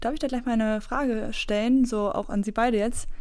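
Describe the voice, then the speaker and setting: Here is a woman with an ordinary speaking voice. She talks at a moderate pace in a fairly high pitch. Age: 20s. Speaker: climate activist. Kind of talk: debate discussion. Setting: studio.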